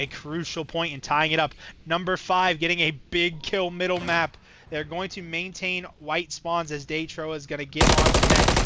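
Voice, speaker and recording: A moderate pace over noticeable background noise. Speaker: esports caster. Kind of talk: live commentary. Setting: live stream.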